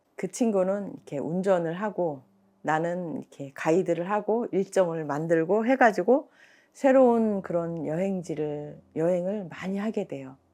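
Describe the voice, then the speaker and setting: A woman's dark, mellow voice with lively intonation at a fairly slow pace. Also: medium pitch for a woman, quiet background. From Korea, rural village. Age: 60s. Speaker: mother of four, aspiring spiritual practitioner. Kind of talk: documentary interview answer. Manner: hesitant, conversational.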